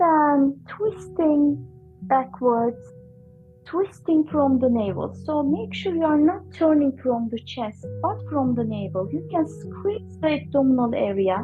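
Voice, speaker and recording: Over music in the background, a woman speaks at a fairly slow pace in a calm, gentle tone. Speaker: yoga and breathwork teacher. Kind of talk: guided yoga class instruction. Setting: online class recording. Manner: calm, gentle, instructional.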